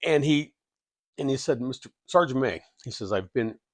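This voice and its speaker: A man's medium-pitched voice at a fairly quick pace, with a dry, close sound, no echo and a quiet background. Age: 60s. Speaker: military veteran and software worker sharing life story. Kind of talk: personal testimony vlog. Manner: halting, many repeated words.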